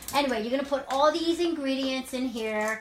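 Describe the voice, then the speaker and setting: A woman speaks with a New York accent at a fairly quick pace. Noticeable background noise sits behind her. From New York City. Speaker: wellness coach. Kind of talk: cooking demo live chat. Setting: home kitchen, live stream. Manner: casual, chatty.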